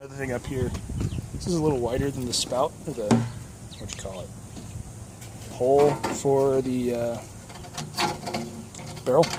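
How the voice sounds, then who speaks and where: A man with a medium-pitched voice speaks with fairly even intonation, big swings in loudness, and long, frequent pauses. Background noise is noticeable. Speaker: DIY homesteader. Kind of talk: casual DIY video narration. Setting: outdoors. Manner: fast, words run together.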